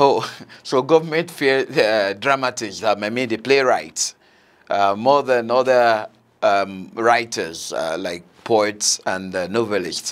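This man talks at a very slow pace, his pitch varying an ordinary amount. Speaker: TV host. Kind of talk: interview. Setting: studio. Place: studio. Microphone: lapel.

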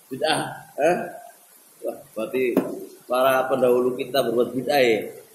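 Amid light background noise and audible room echo, a man talks at a fairly quick pace. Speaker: Islamic teacher. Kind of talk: lecture. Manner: didactic, repeats phrases. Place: classroom.

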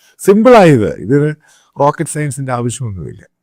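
A man speaks with a plain, everyday voice and lively intonation. The recording is very clean, with a silent background. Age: 50s. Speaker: political commentator. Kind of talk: opinion monologue.

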